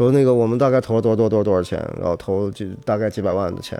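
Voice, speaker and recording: Music plays behind a man who rattles off his words very quickly. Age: 30s. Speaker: boxing gym owner. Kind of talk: interview. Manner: animated.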